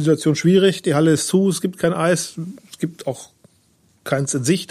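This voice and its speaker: This man talks fairly quickly in a high-pitched voice with a dark, mellow tone and fairly even intonation. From western Germany, Lower Rhine and Münsterland. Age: 40s. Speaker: newspaper reporter. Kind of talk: casual interview chat.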